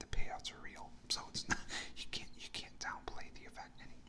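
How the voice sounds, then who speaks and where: A man whispers at a moderate pace with an American accent. Noticeable background noise runs underneath. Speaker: ASMR artist. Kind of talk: ASMR golf news ramble. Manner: whispered.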